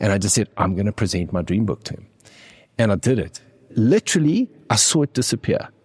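Somewhat breathy speech with lively intonation at a fairly quick pace, long, frequent pauses, and a dry, close sound with no echo on a very clean recording with a silent background. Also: man, fairly low pitch for a man. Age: 40s. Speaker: tech company CEO. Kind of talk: interview.

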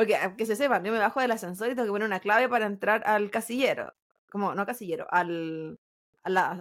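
At a fairly quick pace, a woman with a Chilean accent speaks in a fairly high voice in a very clean recording with a silent background. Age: 30s. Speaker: podcast co-host. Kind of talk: casual chat.

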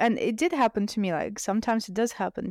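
A woman speaks in a Russian accent. The recording is very clean, with a silent background and a dry, close sound with no echo. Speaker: DJ and music producer. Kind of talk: casual interview chat.

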